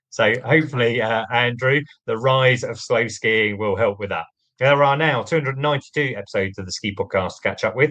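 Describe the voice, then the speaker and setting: A man speaks with a British accent. His pitch is medium and his pace very fast. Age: 40s. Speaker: podcast host. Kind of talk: podcast outro. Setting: studio.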